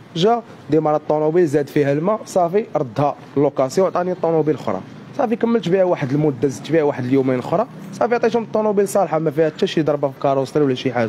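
The man talks at a very fast pace with lively intonation. Light background noise runs underneath. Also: fairly high pitch for a man, very even loudness. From Morocco. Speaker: fraud victim. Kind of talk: street interview. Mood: aggrieved, complaining. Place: street. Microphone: handheld.

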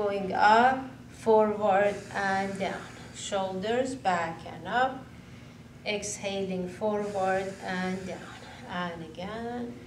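Against light background noise and audible room echo, a woman speaks very slowly with ordinary pitch variation and big swings in loudness. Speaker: yoga instructor. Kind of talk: guided exercise instruction. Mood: calm, soothing. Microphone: camera far.

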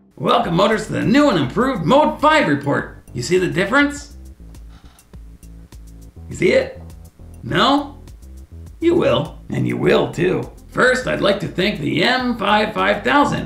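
Over faint background music, a put-on character voice at a middle pitch moves at a moderate pace. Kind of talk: comedy web series sketch. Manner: boastful, excitable.

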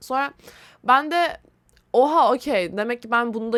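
High-pitched female voice with lively intonation, on a very clean recording with a silent background. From Turkey, Istanbul. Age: 20s. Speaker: podcast host. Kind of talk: casual solo monologue. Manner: rambling conversational.

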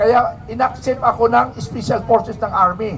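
Noticeable background noise sits behind a man whose voice is high-pitched. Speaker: protest speaker, former soldier. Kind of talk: rally speech.

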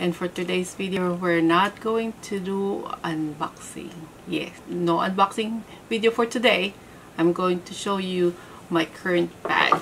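A woman speaks at a fairly slow pace with fairly even intonation. There is light background noise. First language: not English. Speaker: handbag reviewer. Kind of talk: casual talk to camera. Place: home room.

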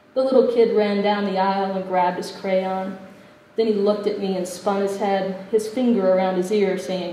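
Someone simply reads aloud. Their intonation is fairly even throughout.

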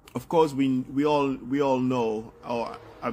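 The voice belongs to a man. He keeps his intonation fairly even. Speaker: political commentator. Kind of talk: commentary. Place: home room. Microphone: phone near.

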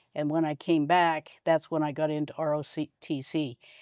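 At a very slow pace, the voice comes through with a dry sound free of echo and a quiet background. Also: woman. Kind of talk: interview answer. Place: home room. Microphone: lapel.

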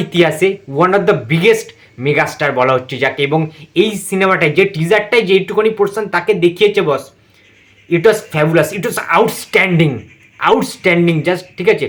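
A man's high-pitched voice in a Kolkata accent, with an animated, excited tone. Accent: Kolkata Bengali. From West Bengal, India. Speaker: YouTuber film reviewer. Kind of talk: reaction video review.

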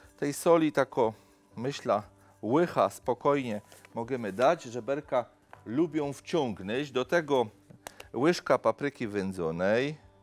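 Very slow pace paired with lively intonation. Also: man. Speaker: TV cooking show host. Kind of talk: cooking show presentation. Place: studio.

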